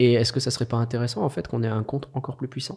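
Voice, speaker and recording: This man has an ordinary speaking voice, medium in pitch, moving at a fairly quick pace with fairly even intonation. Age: 30s. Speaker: social media manager. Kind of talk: casual interview conversation.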